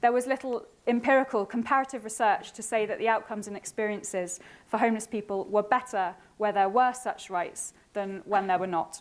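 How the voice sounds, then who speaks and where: Her pitch is fairly high, with ordinary pitch variation. The woman talks at a fairly quick pace. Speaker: academic researcher. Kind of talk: conference presentation. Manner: fast.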